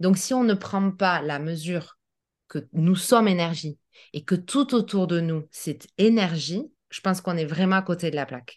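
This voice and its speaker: A woman speaks at a fairly slow pace in an unremarkable speaking voice, her pitch fairly low with ordinary variation. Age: 40s. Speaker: naturopath. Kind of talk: interview.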